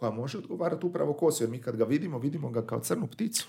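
Lively in intonation, a man speaks with a somewhat breathy, fairly high-pitched voice. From Croatia, Daruvar. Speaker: poet. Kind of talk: interview. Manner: halting.

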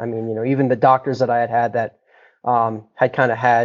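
An American accent colors a man's medium-pitched voice. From Boulder, Colorado. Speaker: cannabis grower and business co-founder. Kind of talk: interview. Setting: video call. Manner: hesitant, many fillers.

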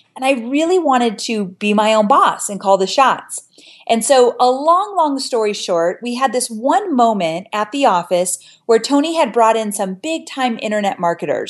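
This woman has a normal speaking voice, fairly high in pitch, delivered at a fairly slow pace with lively intonation. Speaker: online marketing expert and course creator. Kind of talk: interview, explanatory teaching.

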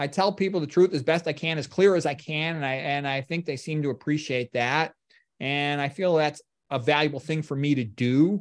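A man speaks in a plain, everyday voice, pitched fairly high. His pitch varies in an ordinary way at a moderate pace. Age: 50s. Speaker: medical doctor. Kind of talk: lecture; casual chat. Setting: video call.

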